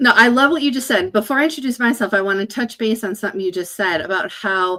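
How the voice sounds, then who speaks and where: A woman's fairly high voice with lively intonation at a fairly quick pace. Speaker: business consultant. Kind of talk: casual chat. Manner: fast.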